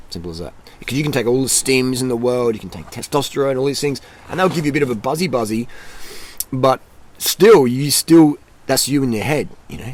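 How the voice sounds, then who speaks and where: Noticeable background noise sits behind a man with an Australian accent. He talks at a very fast pace in an energetic tone. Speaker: YouTuber, cycling and nutrition vlogger. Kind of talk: motivational talk to camera. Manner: casual, repetitive and energetic.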